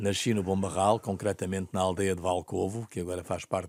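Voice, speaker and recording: The recording is very clean and the background silent. A man with a very deep, low pitch talks at a moderate pace, his intonation fairly even. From Portugal, Bombarral (Oeste region). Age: 70s. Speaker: football executive. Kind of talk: interview. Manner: halting.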